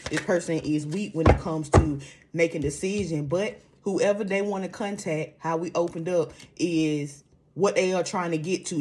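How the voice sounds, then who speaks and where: A woman's fairly low voice at a fairly quick pace, with ordinary pitch variation. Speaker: tarot reader. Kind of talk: oracle card reading. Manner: mellow.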